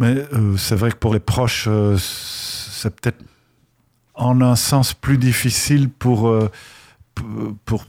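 Someone speaks with a Belgian accent in a very clean recording with a silent background. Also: man. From Belgium. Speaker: novelist and university lecturer. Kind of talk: radio interview. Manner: halting with repetitions.

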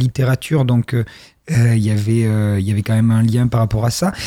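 Speaking in a dark, mellow tone at a moderate speed, a man comes through on a very clean recording against a silent background. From southwest France, Périgord noir (Dordogne). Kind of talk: radio interview.

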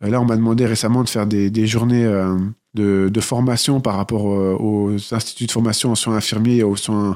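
Fairly even intonation and a moderate pace from a man at a medium pitch, an ordinary speaking voice. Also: very clean recording, silent background. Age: 30s. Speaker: nursing assistant and author. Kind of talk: interview testimony.

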